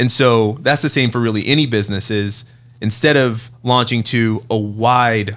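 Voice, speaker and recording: In an American accent, a man talks with an ordinary speaking voice at a medium pitch. His pace is moderate and his intonation fairly even. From Oakland, California. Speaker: fintech founder and venture investor. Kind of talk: casual interview.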